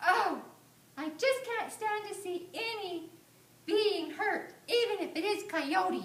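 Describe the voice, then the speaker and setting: In a squeaky, put-on character voice, the speaker moves at a fairly slow pace, with echo audible around the words. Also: female-sounding voice, extremely high pitch for a woman. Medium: read story. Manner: firm, caring.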